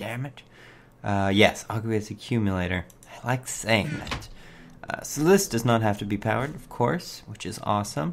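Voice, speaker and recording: A man speaks in a fairly low voice. Background noise is noticeable. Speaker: gaming video creator. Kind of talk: let's play commentary. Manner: casual, hesitant with many fillers.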